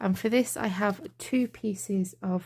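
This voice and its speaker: Speaking at a very slow pace, a woman uses lively intonation at a medium pitch, her tone dark, mellow and somewhat breathy. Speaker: card-making crafter. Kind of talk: tutorial. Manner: quiet, near whisper.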